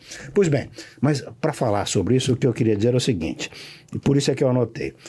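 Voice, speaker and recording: A man speaks at a very fast pace and medium pitch, with vocal fry and a dark, mellow tone. His intonation is lively while his loudness stays very even. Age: 70s. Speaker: law professor. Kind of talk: podcast interview.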